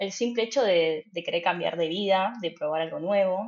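Speaking in a Rioplatense accent, a woman with medium pitch talks at a moderate pace with ordinary pitch variation. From Argentina, Buenos Aires. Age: 20s. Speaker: trainee care worker. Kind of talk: interview.

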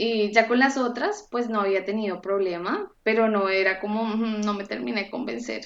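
A woman uses an ordinary speaking voice at a moderate pace, with hardly any pauses. Her pitch is fairly high, with ordinary pitch variation. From Colombia (Bogotá). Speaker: cooking apprentice. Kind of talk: interview.

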